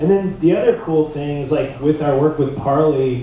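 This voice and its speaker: A man at a moderate pace with ordinary pitch variation, audible room echo and light background noise. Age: 40s. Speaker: surf brand executive; panelist. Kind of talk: conference panel talk. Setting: stage with audience. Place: hall.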